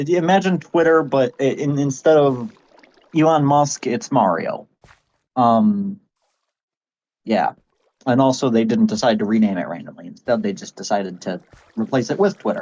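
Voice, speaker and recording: His pitch is fairly high and swings very widely. The man speaks at a moderate pace with long, frequent pauses. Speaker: online content creator. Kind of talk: casual explainer monologue. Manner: halting, stuttering.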